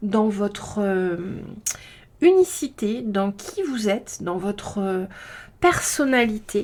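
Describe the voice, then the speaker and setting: A woman speaks in a fairly high pitch. Her pitch swings very widely. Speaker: tarot card reader. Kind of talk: intuitive card reading guidance. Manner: hesitant, many fillers.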